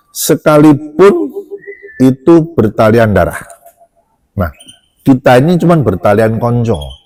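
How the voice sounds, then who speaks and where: With music in the background, a man speaks at a medium pitch and fairly slow pace, using lively intonation and long, frequent pauses. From Java. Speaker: doctor. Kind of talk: casual chat.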